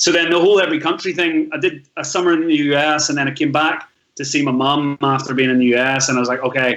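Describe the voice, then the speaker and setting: Fairly high for a man, this voice has a Northern Irish accent and fairly even intonation, delivered at a very fast pace. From Northern Ireland. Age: 30s. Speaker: travel blogger. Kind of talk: podcast interview, life story.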